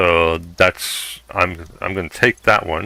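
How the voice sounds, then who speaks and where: Very slowly, a man with an American accent speaks in a bright, sharp tone on a very clean recording with a silent background. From Southern California. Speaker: video game streamer. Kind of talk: live gameplay stream chat. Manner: halting, frequent fillers.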